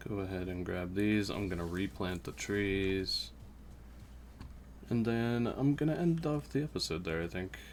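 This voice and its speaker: This man talks quietly at a moderate pace with a fairly low pitch. His voice swings very widely in pitch. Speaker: gaming YouTuber. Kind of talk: let's play commentary.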